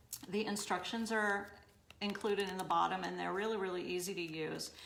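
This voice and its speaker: Her intonation monotone and flat, a woman speaks amid audible room echo. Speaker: boutique owner demonstrating paint products. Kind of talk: live-stream tutorial. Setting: live stream on social media. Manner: loud; casual, chatty.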